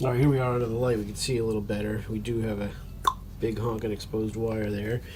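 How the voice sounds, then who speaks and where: Audible room echo surrounds a man who speaks very fast in a flat, monotone voice at medium pitch. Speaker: antique fan restorer, hobby video maker. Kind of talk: casual tutorial-style narration. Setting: workshop table. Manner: hesitant, many fillers.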